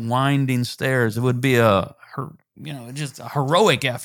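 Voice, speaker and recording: A man talks at a moderate pace with ordinary pitch variation, in a plain, everyday voice. The recording is very clean, with a silent background. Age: 60s. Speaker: pastor and author. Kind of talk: interview.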